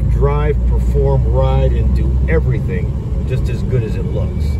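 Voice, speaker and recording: A very slow pace over loud background noise. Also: dry sound with no echo. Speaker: seller. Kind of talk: casual test drive commentary. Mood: enthusiastic, proud. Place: car. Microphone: phone near.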